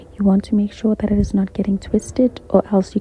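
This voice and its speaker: A whispered voice moves along at a fairly quick pace. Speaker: crochet tutorial creator. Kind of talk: tutorial. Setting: library. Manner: whispering on and off.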